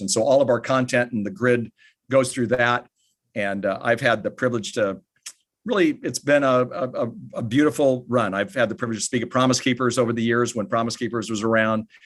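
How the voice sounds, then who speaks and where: This is a man with an American accent and a normal speaking voice, talking at a fairly quick pace at medium pitch with ordinary pitch variation. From United States. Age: 60s. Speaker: author and family ministry speaker. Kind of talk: podcast interview.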